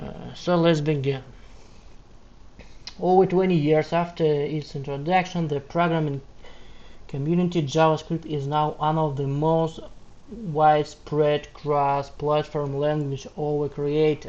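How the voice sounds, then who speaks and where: A man with a Russian accent speaks at a fairly slow pace in a monotone, flat intonation. His pitch is fairly high, and there is noticeable background noise. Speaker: backend developer. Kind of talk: reading aloud; casual talk. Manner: halting.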